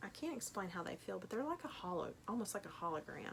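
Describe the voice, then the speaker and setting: A woman is speaking. She has a Tennessee accent. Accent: Tennessee twang. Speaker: online clothing reseller. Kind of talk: unboxing video commentary.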